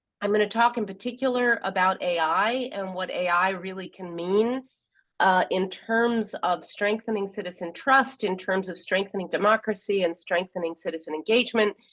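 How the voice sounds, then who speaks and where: In an American accent, a woman with a normal speaking voice and medium pitch talks at a moderate pace with ordinary pitch variation. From US Northeast (New York). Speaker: professor and government technology expert. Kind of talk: guest lecture.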